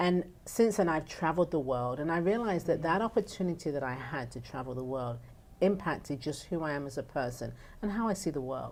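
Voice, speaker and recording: A woman with an English accent has a very deep, low pitch. She talks at a fairly quick pace with lively intonation. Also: very clean recording, silent background. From northern England. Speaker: nonprofit founder. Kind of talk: talk show interview.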